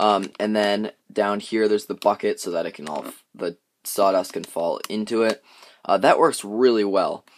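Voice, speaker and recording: Light background noise sits behind a man with a normal speaking voice. He talks at a moderate pace in a fairly low pitch. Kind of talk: tutorial. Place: workshop. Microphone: phone near.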